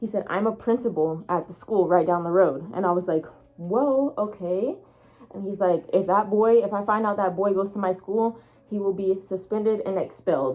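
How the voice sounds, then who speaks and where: At a moderate pace, a woman speaks in an animated tone at medium pitch with ordinary pitch variation. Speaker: furry storytime vlogger. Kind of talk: storytime monologue.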